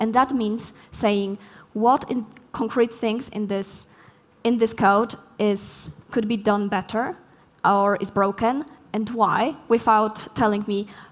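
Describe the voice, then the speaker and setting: With a Polish accent, a woman speaks very slowly at a fairly high pitch, her intonation fairly even and her pauses long and frequent. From Poland. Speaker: software developer, keynote speaker. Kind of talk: conference Q&A answer.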